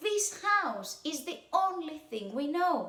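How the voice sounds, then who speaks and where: In a put-on character voice, a woman projects a croaky, extremely high-pitched sound at a fairly slow pace. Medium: read story.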